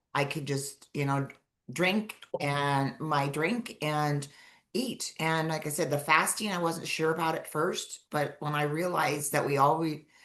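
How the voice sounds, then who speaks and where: Her very deep, low voice moves at a fairly slow pace with ordinary pitch variation as the woman speaks. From Montana, US. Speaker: weight loss client. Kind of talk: podcast interview. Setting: live stream.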